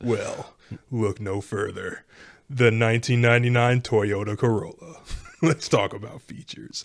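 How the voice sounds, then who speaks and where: His voice is a put-on character voice. It sits at a medium pitch. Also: moderate pace, ordinary pitch variation, big swings in loudness. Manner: bombastic, salesy.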